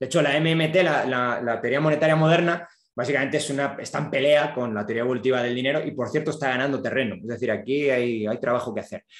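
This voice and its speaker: Talking at a very fast pace, a man leaves hardly any pauses. His pitch is medium, with ordinary pitch variation. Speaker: economics professor. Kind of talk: lecture.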